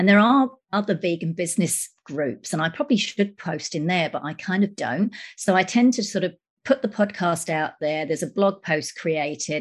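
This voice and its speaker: A woman's somewhat breathy, medium-pitched voice with lively intonation at a moderate pace. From UK. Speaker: journalist and podcaster. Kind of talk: podcast panel discussion.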